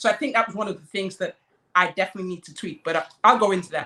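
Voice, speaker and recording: The woman's voice has a bright, sharp tone. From Nigeria. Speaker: talk show host. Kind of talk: online panel discussion.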